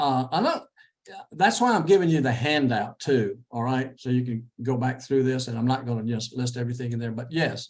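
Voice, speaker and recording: With a Texan accent, a man speaks at a fairly quick pace using ordinary pitch variation. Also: medium pitch for a man. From Texas. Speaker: interview coach. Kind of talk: lecture.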